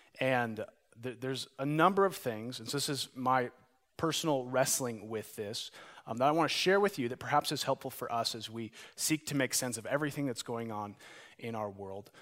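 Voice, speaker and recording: A man with an American accent has a plain, everyday voice at a medium pitch. He speaks at a moderate pace with ordinary pitch variation on a very clean recording with a silent background. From Montana. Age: 30s. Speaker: pastor. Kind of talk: sermon.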